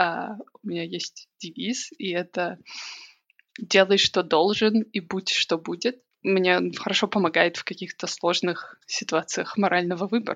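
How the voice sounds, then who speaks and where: A woman's medium-pitched voice, fairly slow, with fairly even intonation. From Belarus, Minsk. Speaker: emigrant sharing experience. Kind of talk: casual interview chat.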